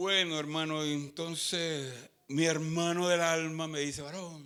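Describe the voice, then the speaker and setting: There is audible room echo as a man with a fairly high pitch speaks fairly slowly in a bright, sharp tone with monotone, flat intonation. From Colombia. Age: 70s. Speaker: pastor. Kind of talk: sermon.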